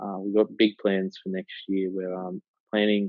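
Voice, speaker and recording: Fairly slow and monotone, a man with an Australian accent speaks at a fairly low pitch with flat intonation. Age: 20s. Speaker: digital marketing agency co-founder and university student. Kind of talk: casual interview. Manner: halting, many fillers.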